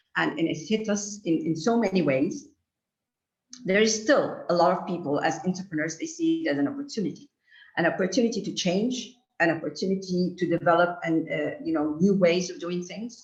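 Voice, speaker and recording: A woman's somewhat breathy, fairly low voice with lively intonation at a fairly quick pace. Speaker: lecturer. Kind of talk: lecture. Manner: halting. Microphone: too far from mic, too quiet.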